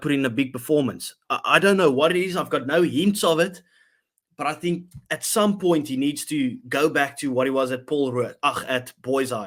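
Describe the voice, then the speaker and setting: In a very clean recording with a silent background, a man with a South African accent talks at a moderate pace, his pitch fairly high with ordinary pitch variation. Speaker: rugby podcast host. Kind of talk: casual chat.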